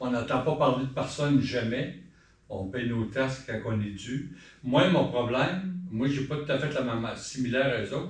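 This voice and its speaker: Amid noticeable background noise and audible room echo, a man talks at a moderate pace. His medium pitch shows ordinary variation. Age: 60s. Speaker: citizen at council question period. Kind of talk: public question period. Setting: town hall council meeting. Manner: conversational.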